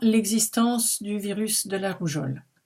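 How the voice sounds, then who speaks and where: This woman talks at a very slow pace with a fairly high pitch. Her tone is dark and mellow, and somewhat breathy. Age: 70s. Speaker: anti-vaccine activist vlogger. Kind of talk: opinion monologue to camera.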